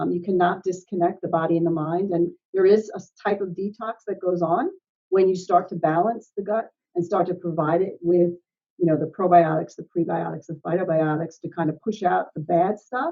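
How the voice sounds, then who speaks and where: In a plain, everyday voice, the speaker moves at a fairly quick pace with fairly even intonation. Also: woman, fairly low pitch for a woman. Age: 60s. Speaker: health and wellness coach. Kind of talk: interview. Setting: podcast.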